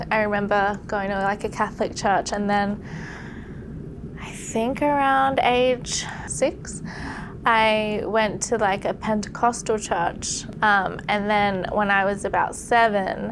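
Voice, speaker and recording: A woman talks at a medium pitch with ordinary pitch variation. Noticeable background noise and audible room echo surround her voice. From Australia, Sydney. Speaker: podcast guest sharing conversion story. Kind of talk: testimony. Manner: casual, conversational with filler words.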